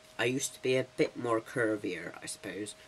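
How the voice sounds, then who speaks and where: A man speaks at a moderate pace with a medium pitch. Noticeable background noise runs underneath. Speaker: vlogger documenting transition. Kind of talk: casual vlog. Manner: chatty, rambling.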